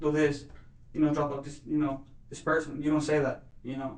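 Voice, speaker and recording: Speaking at a fairly quick pace, a man with a fairly high pitch keeps a monotone, flat intonation while room echo is audible. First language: Spanish. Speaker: murder suspect. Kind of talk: police interrogation. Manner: halting, many fillers.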